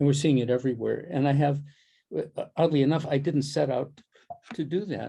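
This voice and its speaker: A dark, mellow, somewhat breathy voice at a fairly quick pace, with fairly even intonation and long, frequent pauses. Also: man, fairly high pitch for a man. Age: 80s+. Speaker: soundscape ecologist. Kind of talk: Q&A interview. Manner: halting.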